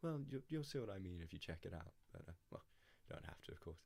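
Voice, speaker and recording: A man with an English accent talks at a very fast pace in a very deep, low pitch. His voice is somewhat breathy, with very wide pitch swings. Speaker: poetry reader. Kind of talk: reading aloud. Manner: hesitant.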